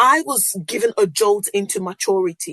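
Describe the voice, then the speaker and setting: An animated woman's voice with a Yoruba accent, dry and close with no echo. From Nigeria (Yoruba). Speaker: podcast host. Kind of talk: casual monologue.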